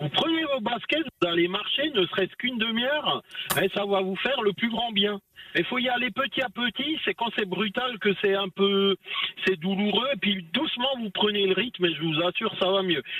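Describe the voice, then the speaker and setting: A man with an Alsatian accent speaks at a high pitch and a moderate pace, with ordinary pitch variation, against noticeable background noise. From Alsace, France. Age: 40s. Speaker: long-haul truck driver. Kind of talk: radio interview, casual chat. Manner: animated, joking.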